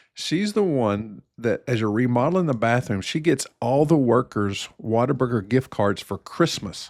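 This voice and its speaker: A man with a plain, everyday voice and an American accent speaks at a moderate pace. His medium-pitched delivery has lively intonation. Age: 60s. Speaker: family physician. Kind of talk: casual chat.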